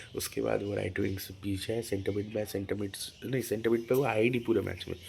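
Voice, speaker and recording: A man talks at a moderate pace in a fairly low, somewhat breathy voice. His intonation stays monotone and flat. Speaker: football channel host. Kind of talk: casual match review. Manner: halting, self-correcting; soft-spoken today.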